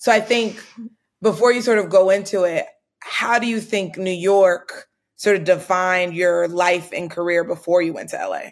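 An unremarkable speaking voice moves at a moderate pace with fairly even intonation but big swings in loudness. The recording is very clean, the background silent. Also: woman, medium pitch for a woman. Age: 30s. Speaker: podcast host and startup founder. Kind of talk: casual chat.

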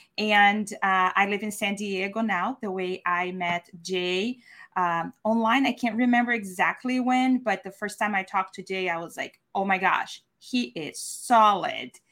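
On a very clean recording with a silent background, a woman with a bright, sharp tone and a medium pitch speaks at a fairly slow pace with hardly any pauses. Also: ordinary pitch variation. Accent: Portuguese. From Brazil. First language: Portuguese. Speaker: virtual event producer. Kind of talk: video interview.

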